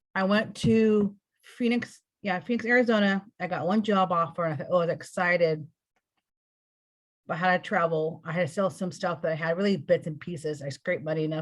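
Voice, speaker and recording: A woman speaks at a fairly quick pace with an American accent. Her voice is somewhat breathy. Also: fairly low pitch for a woman, ordinary pitch variation. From California. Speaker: spiritual interview guest. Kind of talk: personal testimony. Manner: rambling, halting.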